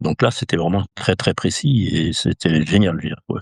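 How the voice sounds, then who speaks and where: Here a man speaks at a fairly quick pace with a very deep, low pitch. The recording is very clean, with a silent background and a dry, close sound with no echo. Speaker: equestrian endurance race announcer. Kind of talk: interview answer.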